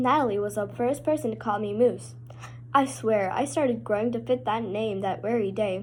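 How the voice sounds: This is a natural reading voice. Its pitch varies in an ordinary way.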